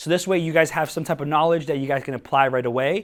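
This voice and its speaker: A man with a slight Spanish accent speaks in an energetic tone at a fairly high pitch on a very clean recording with a silent background. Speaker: social media marketing speaker. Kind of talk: workshop talk to live audience. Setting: stage with audience at coworking space. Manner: energetic, hesitant with many fillers.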